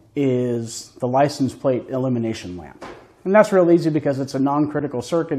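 Here a man talks at a fairly quick pace with lively intonation. His tone is dark and mellow, and the background is quiet. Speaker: presenter. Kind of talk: tutorial. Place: garage.

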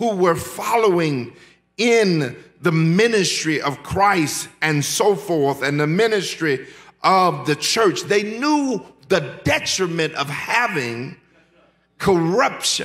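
A man at a very slow pace, with lively intonation. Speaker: pastor. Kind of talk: sermon. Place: church. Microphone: podium.

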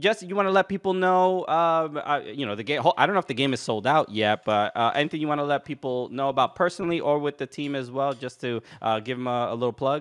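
A fairly high-pitched man talking at a very fast pace against a quiet background. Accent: New York. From New York. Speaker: comedian and podcast host; podcast host. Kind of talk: casual interview. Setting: video call. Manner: halting. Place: home room.

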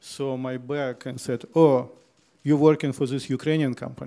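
Over a quiet background, a man speaks at a fairly slow pace with a dark, mellow tone and monotone, flat intonation. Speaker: panelist. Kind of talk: panel presentation with slides. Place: hall. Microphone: handheld.

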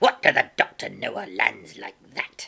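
A put-on character voice at a moderate pace. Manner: cursing, rough, rambling.

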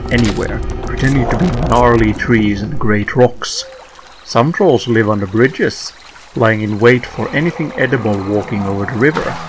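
Over music in the background, a man speaks at a moderate pace in a medium pitch with ordinary pitch variation. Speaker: narrator. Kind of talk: folklore documentary narration.

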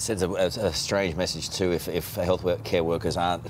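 Fairly even intonation in an Australian accent, with light background noise. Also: man. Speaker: TV news presenter. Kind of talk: live TV news. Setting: studio. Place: studio.

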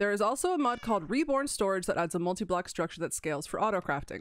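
At a very fast pace, a woman with a medium-pitched voice speaks in an animated tone with lively intonation on a very clean recording with a silent background. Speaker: gaming YouTuber. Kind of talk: solo gameplay commentary. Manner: animated, excitable.

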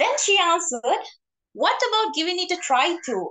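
A woman's extremely high voice at a fairly quick pace, with very wide pitch swings and a quiet background. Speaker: club member. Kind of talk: prepared speech. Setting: video call. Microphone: video call.

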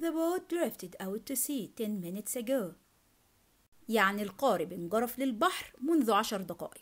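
This woman's voice sits fairly high and moves in very wide pitch swings. She talks at a moderate pace. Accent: Egyptian. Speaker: English teacher. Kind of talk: language lesson tutorial.

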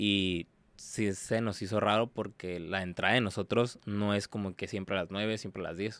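At a moderate pace, the voice stays monotone and flat, with a dry sound and no echo. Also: man, fairly low pitch for a man. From Tijuana, Mexico; Mexico. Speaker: exotic dancer; podcast guest. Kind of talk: casual interview chat. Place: studio. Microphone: studio mic.

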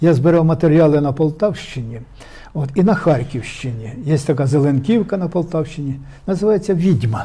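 A man with a fairly high pitch speaks at a moderate speed, his pitch varying in an ordinary way. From Ukraine, Poltava region; Ukraine. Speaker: poet, war veteran; guest. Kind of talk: interview with poetry reading. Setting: studio. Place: studio. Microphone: lapel.

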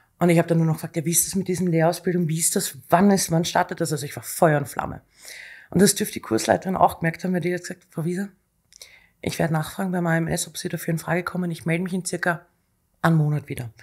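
A woman with a fairly low pitch talks very fast with fairly even intonation. The background is quiet. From Austria. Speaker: executive assistant; guest. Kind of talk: casual interview. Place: studio. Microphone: studio mic.

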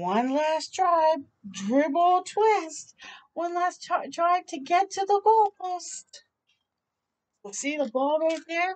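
With lively intonation, a woman speaks at an extremely high pitch.

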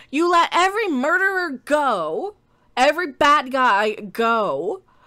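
A woman speaks in a bright, sharp tone with a raised, projected voice. Her pitch swings very widely. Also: quiet background. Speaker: streamer commentator. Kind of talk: ranting commentary. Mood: angry, exasperated.

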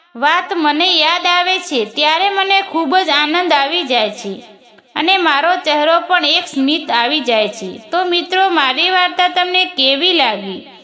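Over noticeable background noise and audible room echo, a woman uses a raised, projected voice at an extremely high pitch with lively intonation. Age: 20s. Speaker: storyteller. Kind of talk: scripted narration.

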